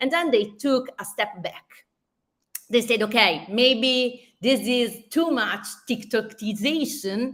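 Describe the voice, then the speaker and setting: Speaking at a very slow pace in an Italian accent, a woman uses a high pitch with ordinary variation. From Italy. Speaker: social media marketing speaker. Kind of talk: conference presentation. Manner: halting, with restarts.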